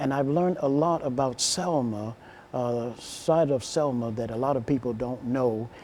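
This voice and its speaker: With an American accent, a man speaks at medium pitch and a moderate pace. His pitch variation is ordinary. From Alabama, US South. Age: 50s. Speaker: minister and educator. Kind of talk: interview.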